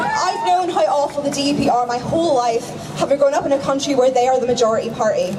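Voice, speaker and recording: Over crowd noise and audible room echo, the speaker rushes at a very fast pace with lively intonation. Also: woman, high pitch for a woman. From Northern Ireland. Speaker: activist speaker. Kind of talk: protest speech. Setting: outdoor protest rally.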